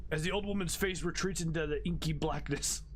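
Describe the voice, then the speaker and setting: Over clear background noise, a man does a raspy put-on character voice, fairly high-pitched and fairly quick. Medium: game stream. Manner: solemn, ominous.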